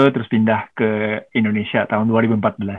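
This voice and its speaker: A man with a Japanese accent talks at a very fast pace. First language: Japanese (speaking Indonesian). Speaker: musician. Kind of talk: casual chat.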